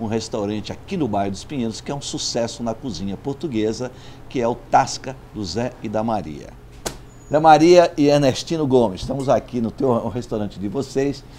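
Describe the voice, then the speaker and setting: Lively intonation at a moderate pace, with light background noise. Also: man. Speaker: magazine host interviewer. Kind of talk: interview introduction and questions. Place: cafe. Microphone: lapel.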